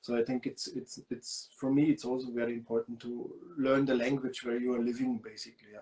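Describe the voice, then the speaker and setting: In a German accent, a man with a medium pitch and a dark, mellow tone talks at a fairly quick pace with hardly any pauses, his intonation monotone and flat while his loudness swings widely. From Lower Bavaria, Germany. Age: 30s. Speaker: guest. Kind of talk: interview.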